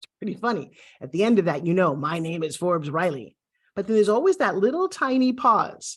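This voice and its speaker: The speaker has a Brooklyn accent. Their intonation is lively. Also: woman. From USA, Brooklyn. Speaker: TV host and pitch coach. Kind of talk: online course lesson. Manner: animated.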